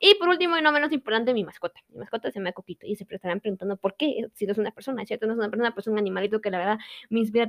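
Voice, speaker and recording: Recorded very cleanly with a silent background and a dry, close sound with no echo, a woman with a Guatemalan accent speaks at a fairly high pitch. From Guatemala, Quetzaltenango. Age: young. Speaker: university student. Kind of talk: personal monologue.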